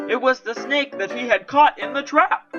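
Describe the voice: Faint music plays in the background as a woman speaks at a fairly slow pace in a fairly bright tone.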